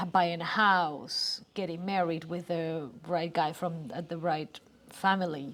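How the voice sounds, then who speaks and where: In a Spanish accent, a woman speaks at a fairly slow pace with fairly even intonation. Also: fairly low pitch for a woman. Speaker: creative business co-owner. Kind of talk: casual chat. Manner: halting.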